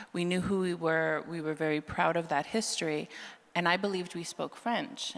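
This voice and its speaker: A woman with a Canadian prairie accent talks at a moderate pace. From Manitoba, Canada (Franco-Manitoban Métis). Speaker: author. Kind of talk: live panel discussion. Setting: stage with live audience. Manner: halting, many restarts.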